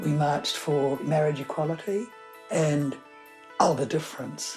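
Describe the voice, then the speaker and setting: In a New Zealand accent, a woman with a very deep, low pitch speaks at a fairly slow pace and with fairly even intonation, while music plays in the background. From New Zealand, Napier. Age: 80s+. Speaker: writer. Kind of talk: interview.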